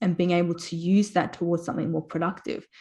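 At a fairly quick pace, a woman with an Australian accent speaks at a medium pitch in a dark, mellow tone. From South Australia, Port Pirie. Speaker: spiritual healer. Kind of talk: interview.

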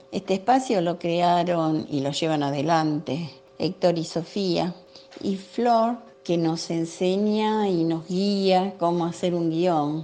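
With music playing in the background, the voice moves at a very slow pace with ordinary pitch variation. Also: woman, fairly low pitch for a woman. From Buenos Aires, Villa Soldati. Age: 70s. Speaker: senior community film workshop member. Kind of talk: interview answers.

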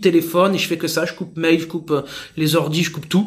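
A man's high-pitched speech comes through noticeable background noise. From southern France, Marseille. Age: 30s. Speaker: sales executive. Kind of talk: interview.

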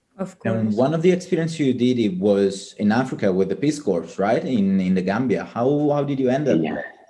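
Hardly pausing, a man with an Italian accent talks at a medium pitch with very wide pitch swings. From Italy (Palermo, Sicily). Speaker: student podcast co-host. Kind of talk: casual interview.

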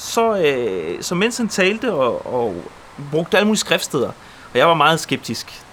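Very wide pitch swings run through speech at a moderate pace, with noticeable background noise. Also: man. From Poland, moved to Denmark at seven. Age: 30s. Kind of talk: testimony.

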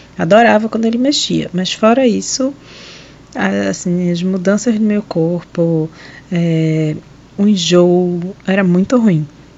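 The speech comes at a very slow pace with long, frequent pauses and ordinary pitch variation, over noticeable background noise. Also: woman, medium pitch for a woman. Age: 30s. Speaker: pulmonologist. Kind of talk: personal testimony.

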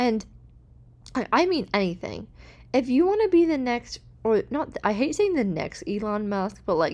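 A high-pitched woman's animated voice with very wide pitch swings. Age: 20s. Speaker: podcast host. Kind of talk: casual solo podcast monologue. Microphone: new podcast microphone.

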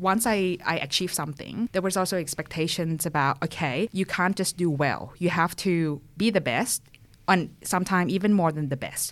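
Recorded very cleanly over a silent background, a woman with a Thai accent and a fairly low pitch speaks at a moderate pace. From Thailand. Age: young. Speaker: tech professional. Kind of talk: interview.

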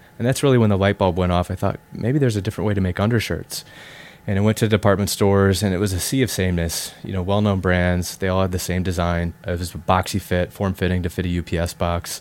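With an American accent, a man with a very deep, low pitch talks at a very fast pace with fairly even intonation. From US Midwest (South Dakota). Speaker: company co-founder. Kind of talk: interview.

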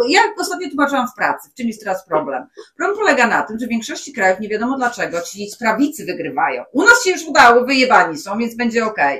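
A woman speaks at a very fast pace in a high pitch. Her intonation is lively. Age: 40s. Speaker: podcast co-host. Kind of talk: casual chat.

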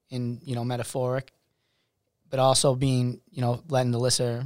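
A man with an American accent, medium-pitched, at a fairly quick pace, on a very clean recording with a silent background. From Massachusetts (Worcester). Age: 20s. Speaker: singer-songwriter. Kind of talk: casual chat.

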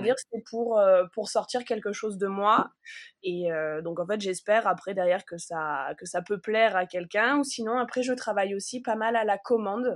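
A woman talks at a moderate pace, fairly high in pitch, with ordinary pitch variation. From southern France, Provence village. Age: 30s. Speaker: wool artist. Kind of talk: interview. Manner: halting.

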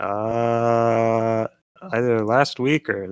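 A man speaks at medium pitch in a dry, close sound with no echo. The recording is very clean, the background silent. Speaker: server owner and translator. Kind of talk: casual chat. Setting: thunderstorm outside.

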